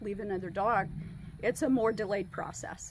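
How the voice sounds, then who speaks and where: A woman talks at a fairly quick pace in a plain, everyday voice. Her medium pitch shows ordinary variation. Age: 60s. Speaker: dog trainer. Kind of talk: interview testimonial.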